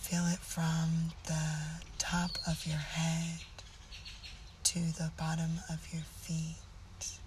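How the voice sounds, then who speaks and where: The speaker uses a soothing, calm tone at a very slow pace, with long, frequent pauses, against noticeable background noise. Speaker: meditation guide. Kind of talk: guided meditation. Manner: slow, soothing and calm; gentle, instructive, with long pauses.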